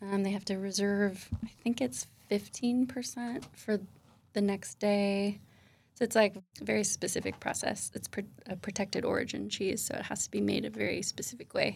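A woman with an American accent has an ordinary speaking voice at medium pitch, with ordinary pitch variation and a moderate pace. The recording is very clean, with a silent background. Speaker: cheesemonger. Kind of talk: interview.

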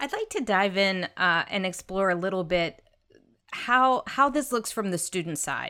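A woman with a plain, everyday voice at medium pitch, fairly slow and lively in intonation, with big swings in loudness, on a very clean recording with a silent background. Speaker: podcast host. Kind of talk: interview conversation.

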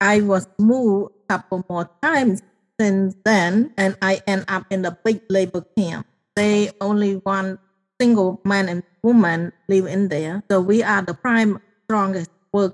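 A woman with a Cambodian accent speaks at medium pitch with fairly even intonation, in a dry, close sound with no echo. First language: Khmer. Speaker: genocide survivor and author. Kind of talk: testimony.

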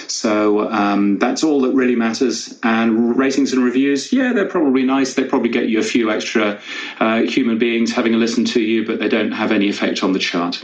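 A man with a medium-pitched voice talks at a fairly quick pace, with hardly any pauses and ordinary pitch variation. His loudness stays very even over noticeable background noise. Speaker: podcast news editor. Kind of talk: panel discussion. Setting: Clubhouse audio room.

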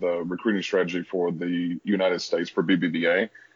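In a Southern US accent, a man with a very deep, low voice talks at a fairly quick pace. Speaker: talent acquisition director. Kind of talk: podcast interview.

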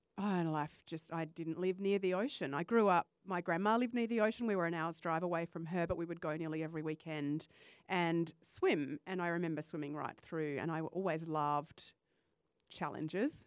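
A woman with an Australian accent speaks at a fairly quick pace and a fairly low pitch, with ordinary pitch variation, on a very clean recording with a silent background. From Western Australia. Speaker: life coach and podcaster. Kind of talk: casual interview chat. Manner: enthusiastic.

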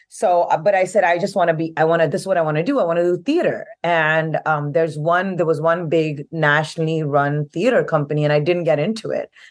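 A woman talks at a very fast pace and a fairly low pitch, with ordinary pitch variation and very even loudness. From India, Delhi. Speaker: theatre artist. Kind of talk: casual chat. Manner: halting.

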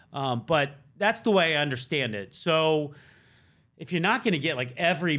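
An unremarkable speaking voice with lively intonation at a fairly quick pace, on a very clean recording with a silent background. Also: man. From US South. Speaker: NFL beat reporter. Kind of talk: casual chat. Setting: studio.

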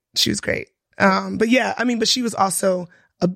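The pace is moderate. The sound is dry and close with no echo. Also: woman. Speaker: podcast co-host, teacher. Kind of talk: casual chat.

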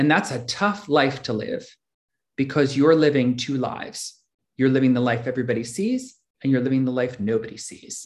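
A man speaks with an American accent at a moderate pace, at medium pitch. He has a normal speaking voice with ordinary pitch variation. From US Northeast, Philadelphia. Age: 50s. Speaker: recovery meeting speaker. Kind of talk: personal testimony.

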